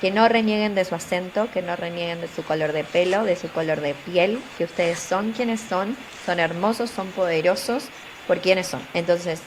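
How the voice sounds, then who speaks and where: Speaking in a Buenos Aires accent at a moderate pace, a woman with a medium pitch is heard over noticeable background noise. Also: ordinary pitch variation. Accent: Buenos Aires Argentine. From Argentina, Buenos Aires. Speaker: tech communications professional and career coach. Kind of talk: interview. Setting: studio.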